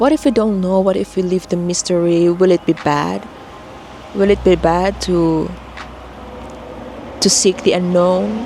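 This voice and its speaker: A soft-spoken woman with a fairly low pitch, long and frequent pauses, and noticeable background noise. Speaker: author vlogger. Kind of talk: casual vlog monologue. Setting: filming alone to camera. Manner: slow; mellow, soft-spoken.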